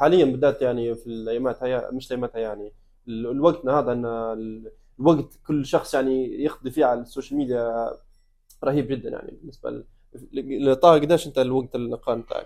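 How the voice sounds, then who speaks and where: A man's dark, mellow voice at medium pitch, with a fairly quick pace and fairly even intonation. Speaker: podcast co-host. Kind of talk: casual interview.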